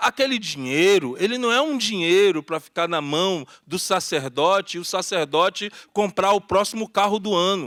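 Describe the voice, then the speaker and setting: A man speaks at a moderate pace with a high pitch and lively intonation. He hardly pauses, and the recording is very clean with a silent background. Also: dry, close sound with no echo. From Brazil, Salvador (Bahia), Curuzu neighborhood. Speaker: activist panelist. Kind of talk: panel talk.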